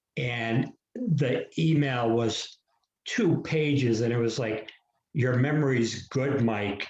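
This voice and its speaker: A man talks very slowly at a medium pitch. His voice is somewhat breathy. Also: ordinary pitch variation, very even loudness. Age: 60s. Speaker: author. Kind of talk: casual chat.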